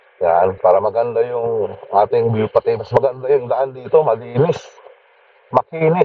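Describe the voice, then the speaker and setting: Male speech at a medium tempo over noticeable background noise. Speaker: motovlogger. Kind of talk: casual vlog narration while riding. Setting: riding motorcycle outdoors, full face helmet.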